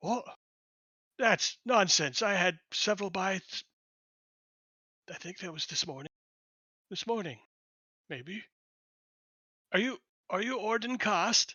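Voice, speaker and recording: A man does a raspy, high-pitched character voice with lively intonation. He goes at a fairly slow pace, leaving long, frequent pauses. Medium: actual play. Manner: halting, absent-minded.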